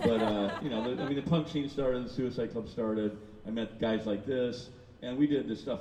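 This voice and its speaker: Noticeable background noise around a man's voice of ordinary pitch movement. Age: 60s. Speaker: artist and urban explorer. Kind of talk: casual chat.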